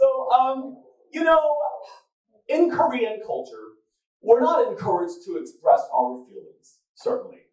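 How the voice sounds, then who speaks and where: The speech moves at a fairly slow pace with long, frequent pauses, very wide pitch swings and big swings in loudness, all with audible room echo. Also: man, extremely high pitch for a man. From South Korea. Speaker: event moderator. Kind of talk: public talk to live audience. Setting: stage with audience. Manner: animated.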